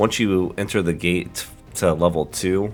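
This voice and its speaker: Ordinary pitch variation over music in the background. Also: man. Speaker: gamer. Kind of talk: game tutorial narration.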